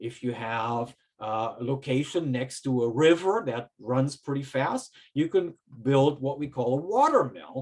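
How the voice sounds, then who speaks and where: Speaking at a fairly slow pace, a man with a German accent uses a medium pitch and ordinary pitch variation. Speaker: professor. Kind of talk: lecture.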